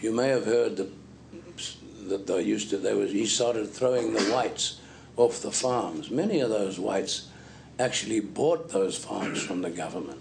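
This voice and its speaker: Lively intonation rings through audible room echo. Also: man, fairly low pitch for a man, moderate pace. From Zimbabwe. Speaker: preacher. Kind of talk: sermon.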